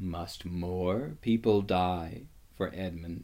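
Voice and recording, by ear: A man uses a put-on character voice with a dark, mellow tone, low pitch, ordinary pitch variation and a very slow pace.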